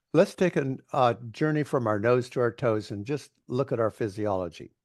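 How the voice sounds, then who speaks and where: Against a quiet background, a man with a plain, everyday voice speaks at a moderate pace, medium in pitch with lively intonation. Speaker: coach. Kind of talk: interview.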